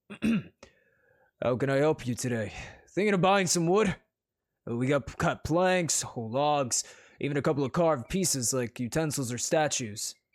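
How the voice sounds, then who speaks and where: A man's gruff, put-on character voice, fairly high in pitch, at a moderate pace on a very clean recording with a silent background. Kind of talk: friendly, salesmanlike.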